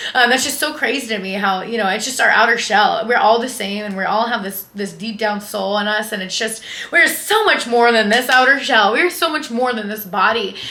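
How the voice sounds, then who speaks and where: With noticeable background noise and audible room echo, a woman speaks fairly quickly in an animated tone at a fairly high pitch, with ordinary pitch variation. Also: hardly any pauses. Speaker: lifestyle and fitness influencer. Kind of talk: casual vlog monologue. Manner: loud.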